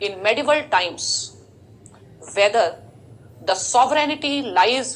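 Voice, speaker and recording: A woman speaking very slowly with lively intonation, amid noticeable background noise and audible room echo. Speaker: teacher. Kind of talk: lecture.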